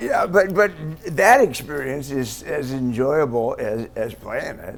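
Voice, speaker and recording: A man talks at a fairly slow pace, with big swings in loudness. Noticeable background noise runs behind him. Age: 70s. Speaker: rock guitarist. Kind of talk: interview answer.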